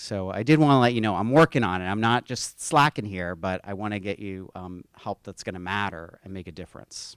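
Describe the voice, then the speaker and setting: In a normal speaking voice, a man with an American accent talks at a fairly quick pace with fairly low pitch and ordinary pitch variation, in a dry, close sound with no echo on a very clean recording with a silent background. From western Pennsylvania, Pittsburgh. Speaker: university administrator. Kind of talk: conference speech.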